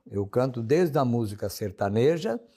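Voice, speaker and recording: On a very clean recording with a silent background, a voice with a dark, mellow tone speaks at a moderate pace. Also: man. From southern Brazil, Santa Catarina. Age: 70s. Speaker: singer. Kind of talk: interview.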